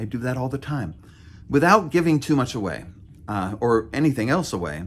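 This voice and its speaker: A man's medium-pitched voice with very wide pitch swings at a moderate pace, in a very clean recording with a silent background. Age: 50s. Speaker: novelist and vlogger. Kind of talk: casual vlog monologue. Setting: outdoors by a river. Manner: halting, stammers often.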